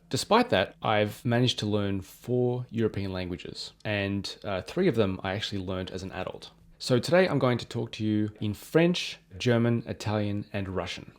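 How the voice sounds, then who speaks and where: Very slow speech with hardly any pauses comes through a very clean recording with a silent background. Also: man, fairly low pitch for a man, ordinary pitch variation. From Australia. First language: English (speaking French). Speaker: polyglot youtuber. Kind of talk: casual personal talk to camera.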